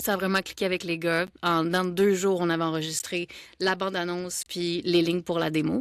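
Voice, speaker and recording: A woman with a Quebec accent speaks at a moderate pace in a monotone, flat intonation. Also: fairly low pitch for a woman. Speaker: voice actor. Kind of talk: casual interview chat.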